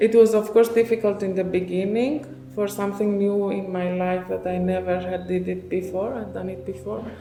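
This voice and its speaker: Over noticeable background noise and audible room echo, a woman talks at a moderate pace with hardly any pauses and ordinary pitch variation. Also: medium pitch for a woman, big swings in loudness. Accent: Persian. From Iran. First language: Persian. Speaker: refugee translator and cultural mediator. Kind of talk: podcast interview. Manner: halting, frequent fillers.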